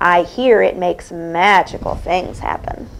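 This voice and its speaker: A raspy put-on character voice from a woman, fairly low-pitched at a moderate pace, over clear background noise. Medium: read story.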